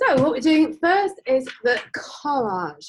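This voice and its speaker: A woman speaks loudly in an English accent. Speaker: art teacher. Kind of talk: class instruction. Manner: casual, hesitant.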